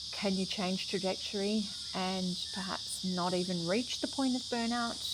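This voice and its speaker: In audible room echo, a soft-spoken woman at a medium pitch talks at a fairly slow pace with fairly even intonation and very even loudness. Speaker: video blogger on IVF and solo motherhood. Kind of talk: casual chat to camera. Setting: outdoors by a river.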